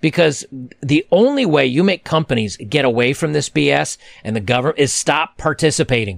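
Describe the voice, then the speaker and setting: A man speaks at a fairly quick pace, his pitch fairly high with vocal fry. The sound is dry and close, with no echo. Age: 40s. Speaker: YouTube men's-issues commentator. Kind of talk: angry solo rant to camera, reacting to news headlines. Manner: indignant, heated and exasperated, rising with outrage; casual and halting, lots of ums and restarts.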